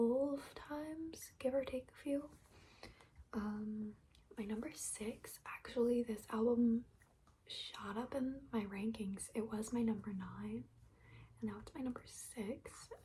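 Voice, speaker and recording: Soft-spoken delivery at a very slow pace. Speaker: ASMR creator. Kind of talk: ASMR soft-spoken talk to camera.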